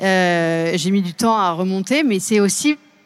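The woman has a normal speaking voice, medium in pitch, with ordinary pitch variation. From Seine-et-Marne, France. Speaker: podcaster and climate consultant. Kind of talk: panel discussion.

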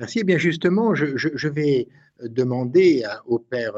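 A man speaks at a very slow pace in a medium pitch. His pitch swings very widely. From northern France, Cambrai. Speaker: priest, radio host. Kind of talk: religious radio show. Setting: at the shrine. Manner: halting, many repetitions.

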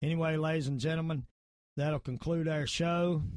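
A man talks with a Southern US accent. The background is quiet. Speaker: podcast host and martial arts expert. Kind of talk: casual talk show monologue. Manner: informal, rambling, opinionated.

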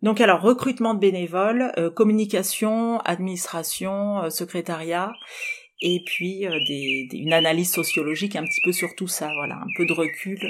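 Over noticeable background noise, a woman of medium pitch speaks at a moderate pace, her pitch varying in an ordinary way and her loudness swinging widely. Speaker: socio-anthropologist and primate charity volunteer. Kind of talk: interview. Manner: hesitant, many fillers.

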